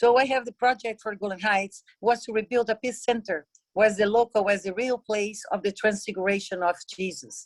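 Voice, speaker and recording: In a plain, everyday voice, a woman speaks at a moderate pace and a fairly high pitch, with fairly even intonation. The recording is dry and close, with no echo. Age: 60s. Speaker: peace activist. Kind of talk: conference talk.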